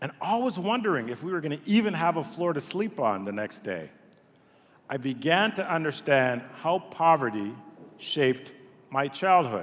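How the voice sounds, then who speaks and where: Keeping a moderate pace, a man with a fairly high pitch makes very wide pitch swings. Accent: Montreal. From Montreal, Quebec, Canada. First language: French. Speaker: nonprofit CEO. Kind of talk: speech to event audience. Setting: stage with audience.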